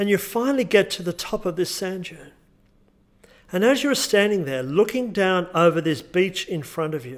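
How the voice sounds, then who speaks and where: With an Australian accent, the speaker goes at a moderate pace, the intonation lively and the loudness swinging widely. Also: man, high pitch for a man. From Australia, Newcastle NSW. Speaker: hypnotherapist. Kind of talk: tutorial with guided hypnosis script; guided hypnosis script.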